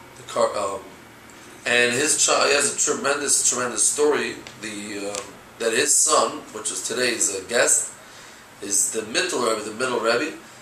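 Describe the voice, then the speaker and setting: Someone with a Brooklyn accent is speaking, and he's a man. Audible room echo and light background noise can be heard. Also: moderate pace. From New York, Brooklyn; New York. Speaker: rabbi, youth director; rabbi. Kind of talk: interview. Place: home room. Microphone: camera far.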